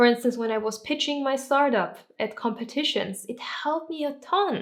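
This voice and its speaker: A woman speaks with a non-native accent and a high pitch. Her pace is moderate. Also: ordinary pitch variation. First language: not English. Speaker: YouTuber and entrepreneur. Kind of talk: vlog-style tips talk to camera.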